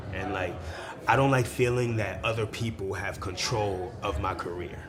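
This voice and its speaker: Over noticeable background noise and audible room echo, a man talks at a moderate pace in a fairly low pitch with ordinary pitch variation. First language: Spanish. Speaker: musician and arts event founder. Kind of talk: interview. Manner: casual, slangy.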